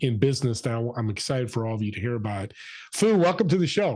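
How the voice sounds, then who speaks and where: A man speaks with lively intonation in a somewhat breathy voice. The background is quiet. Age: 60s. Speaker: podcast host. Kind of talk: interview. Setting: video call.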